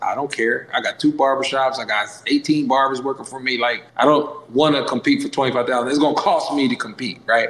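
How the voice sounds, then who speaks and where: Noticeable background noise sits behind a man with a fairly high pitch. He talks at a fairly quick pace with fairly even intonation. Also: hardly any pauses. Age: 40s. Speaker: barber school owner. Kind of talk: casual chat.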